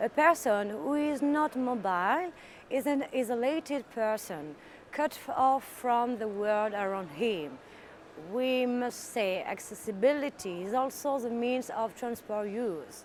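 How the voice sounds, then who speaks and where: In a French accent, a woman speaks with a high pitch and lively intonation. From France. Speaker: politician. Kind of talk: recorded interview answers. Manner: halting.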